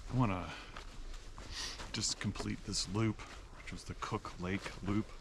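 Amid noticeable background noise, a man talks at a moderate pace with fairly even intonation in a dry sound with no echo. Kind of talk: casual vlog chat. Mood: relaxed, unhurried. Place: open country. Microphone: camera far.

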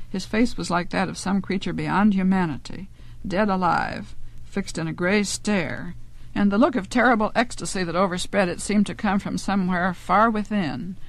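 A woman speaks at a moderate pace with vocal fry and ordinary pitch variation, in a dry recording with no echo. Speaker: author reading her own story. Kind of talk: audiobook narration of a fantasy story from a spoken word LP. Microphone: old recording.

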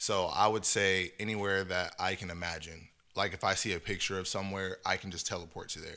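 Bright and sharp in tone, a man with an American accent talks at a fairly quick pace. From California. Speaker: podcast host. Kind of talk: casual chat. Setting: video recording. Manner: animated. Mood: relaxed, joking. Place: studio. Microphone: studio mic.

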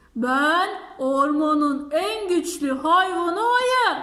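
A woman's put-on character voice, extremely high in pitch, at a very slow pace. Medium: read story.

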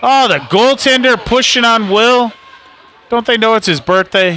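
A man speaks in a raised, projected voice at a high pitch, with lively intonation and very even loudness. Light background noise sits behind him. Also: dry sound with no echo. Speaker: parent or amateur play-by-play commentator. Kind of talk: live sports commentary, co-commentator; sports commentary. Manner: casual, hesitant, with fillers. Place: stadium. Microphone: phone near.

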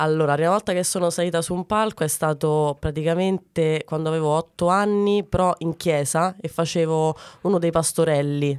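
A fairly quick, fairly low-pitched woman's voice with fairly even intonation, over a quiet background. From Ciociaria, Lazio (Arpino, Frosinone); Lazio. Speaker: comedian; comedian guest. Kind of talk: casual interview. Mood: playful, amused. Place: studio. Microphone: studio mic.

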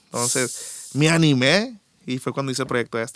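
A man with an unremarkable speaking voice talks at a moderate pace. His medium pitch follows a fairly even intonation. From Culiacán, Sinaloa, Mexico. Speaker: musician, bassist and backing singer. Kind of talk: casual interview chat.

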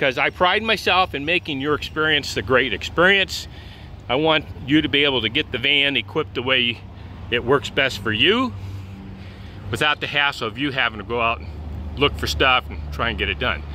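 Fairly quick delivery with very wide pitch swings, a dry sound with no echo and light background noise. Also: man. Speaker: van salesman. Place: street. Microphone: phone near.

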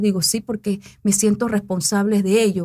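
A woman speaks at a moderate pace. The background is quiet. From Panama, Coclé province; Panama. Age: 40s. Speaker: mayoral candidate and educator; candidate, educator. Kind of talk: interview. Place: studio. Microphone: studio mic.

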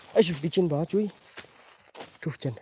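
A man's high-pitched voice with ordinary pitch variation, in a dry sound with no echo. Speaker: paranormal explorer streamer. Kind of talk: live stream night exploration. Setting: outdoors at night after rain. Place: forest. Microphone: phone near.

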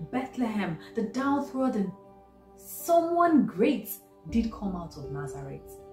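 A woman speaks at a very slow pace with very wide pitch swings, with audible room echo and faint music in the background. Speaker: doctor. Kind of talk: spoken word poetry reading. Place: home room. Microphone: phone near.

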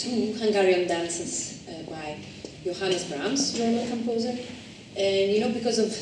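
Amid audible room echo and light background noise, a woman talks at a moderate pace with ordinary pitch variation. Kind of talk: spoken program introduction. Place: hall. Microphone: camera far.

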